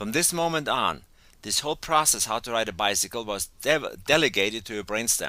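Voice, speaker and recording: In a German accent, the speaker moves at a moderate pace with a bright, sharp tone and lively intonation. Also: man. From Germany. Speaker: educational coach. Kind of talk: webinar lecture. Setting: teleclass call.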